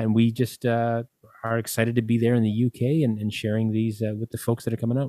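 A man with a Canadian accent, a medium pitch, a dark, mellow tone and a fairly quick pace, in a dry, close sound with no echo. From Canada (Winnipeg, Manitoba). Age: 40s. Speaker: singer-songwriter and author. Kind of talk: casual interview. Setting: video call from home studio.

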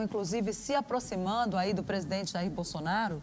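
A woman speaks at a medium pitch with ordinary pitch variation. Noticeable background noise runs behind her. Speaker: journalist interviewer. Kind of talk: political interview. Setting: video call.

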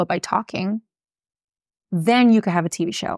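On a very clean recording with a silent background and a dry, close sound with no echo, a woman with a Miami accent speaks at a fairly quick pace, her medium pitch showing ordinary variation. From Miami, Florida. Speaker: personal injury attorney. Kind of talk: casual interview chat. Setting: office studio.

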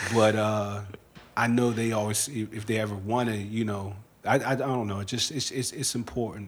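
Audible room echo surrounds a man with a fairly low pitch. He talks at a moderate pace with fairly even intonation. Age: 30s. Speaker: podcast host. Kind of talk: casual chat.

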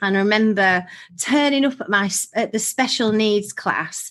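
Over a quiet background, a woman speaks with a bubbly, bright, sharp tone at a fairly high pitch, a moderate pace, and ordinary pitch variation. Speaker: hypnotherapist and college director. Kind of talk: casual interview chat. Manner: bubbly, positive.

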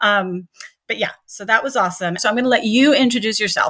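A normal speaking voice with an American accent, lively intonation and a fairly quick pace. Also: woman. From US Northeast, Long Island New York. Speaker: podcast host. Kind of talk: casual interview. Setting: remote recording.

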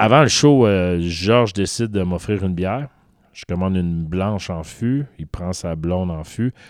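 Very deep and low in pitch with ordinary pitch variation, a man talks at a fairly slow pace with big swings in loudness, in a very clean recording with a silent background. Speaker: podcast co-host. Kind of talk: casual chat. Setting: studio.

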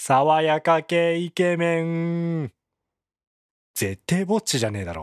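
Long pauses break up the talk frequently. Overall the delivery is very slow. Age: 30s. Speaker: podcast host. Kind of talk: casual solo podcast talk.

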